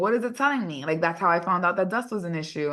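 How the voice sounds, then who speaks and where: The intonation here is lively. It is a normal speaking voice. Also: woman. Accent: American. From New York City. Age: 30s. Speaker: hair regrowth practitioner. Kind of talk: podcast interview.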